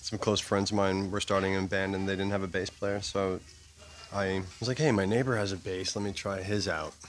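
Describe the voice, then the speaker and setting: Over noticeable background noise, a man with a Canadian accent and a fairly low pitch speaks at a moderate pace. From Toronto, Canada. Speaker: bassist in a band. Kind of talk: interview. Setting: restaurant.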